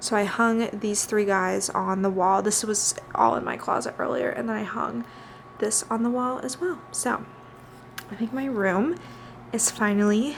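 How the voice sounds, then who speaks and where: Over noticeable background noise, a woman with an American accent speaks at a fairly slow pace in a fairly high voice, leaving long, frequent pauses. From Missouri, US Midwest. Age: 20s. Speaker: lifestyle vlogger. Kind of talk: casual vlog monologue. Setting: at home, bedroom. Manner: filler-heavy (um, like).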